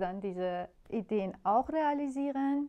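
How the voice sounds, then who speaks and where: Over a quiet background, a woman talks with ordinary pitch variation. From Iran. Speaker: composer. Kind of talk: interview. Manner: hesitant, many filler sounds. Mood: warm, smiling. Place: home room. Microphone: lapel.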